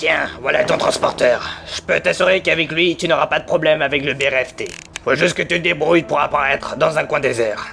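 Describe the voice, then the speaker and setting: Clear music plays in the background as a man puts on a character voice. He speaks at a fairly quick pace. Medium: audio drama. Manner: curt, unfriendly.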